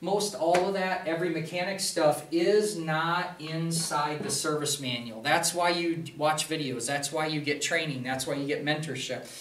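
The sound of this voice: There is audible room echo as a man talks at a moderate pace. His tone is fairly bright.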